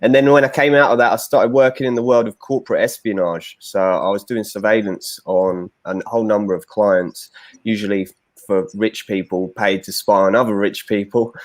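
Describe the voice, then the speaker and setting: A man with an English accent speaks in a fairly low pitch. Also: ordinary pitch variation, moderate pace. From London, England. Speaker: former commando, bodyguard. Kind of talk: podcast interview.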